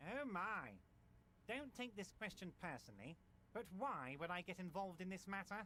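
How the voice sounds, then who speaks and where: A man uses a put-on character voice, high in pitch, at a moderate pace. His loudness is very even, and background noise is clear. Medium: video game. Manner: affable, smooth, condescending.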